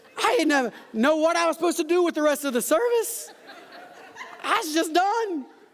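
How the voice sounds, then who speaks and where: With an animated tone and lively intonation, a man speaks at a fairly quick pace in an extremely high pitch, with noticeable background noise. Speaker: pastor. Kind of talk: sermon. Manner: fast.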